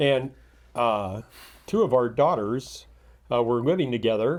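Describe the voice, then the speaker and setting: A man at a fairly slow pace in a very clean recording with a silent background. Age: 60s. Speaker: podcast host and father of ten. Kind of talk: casual chat. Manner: hesitant, many fillers.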